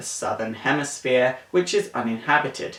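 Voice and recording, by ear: Amid audible room echo, a man with a fairly bright tone speaks at a moderate pace with lively intonation.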